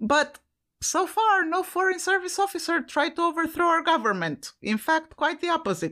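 A raised, projected voice with a bright, sharp tone carries lively intonation at a moderate pace. Its loudness stays very even on a very clean recording with a silent background. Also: woman, extremely high pitch for a woman. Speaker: podcast co-host. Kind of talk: casual chat. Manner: laughs often.

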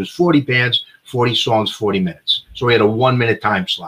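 With an American accent, a man talks at a fairly quick pace in a normal speaking voice with ordinary pitch variation. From New York (Bronx). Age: 60s. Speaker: horrorcore band singer. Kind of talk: casual chat.

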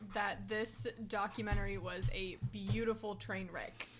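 A woman talks at a very slow pace. Music plays behind her. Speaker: podcast guest, TV fan.

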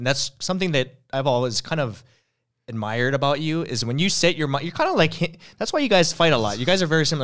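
The recording is very clean with a silent background. A man with a fairly high pitch and ordinary pitch variation talks at a very fast pace. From Hawaii. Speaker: podcast host. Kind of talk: casual chat.

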